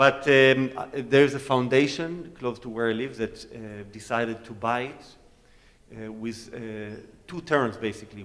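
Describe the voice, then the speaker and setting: A man with an Israeli accent talks at a moderate pace in a medium pitch. His loudness swings widely. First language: Hebrew. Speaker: cellist. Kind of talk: onstage Q&A talk.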